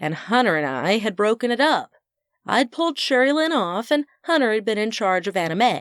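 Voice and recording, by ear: Someone reads aloud in a natural voice, with only quiet behind it.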